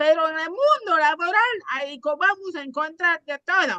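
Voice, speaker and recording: A woman with an extremely high pitch projects her raised voice in a bright, sharp tone with lively intonation, recorded dry and close with no echo. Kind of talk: casual panel chat.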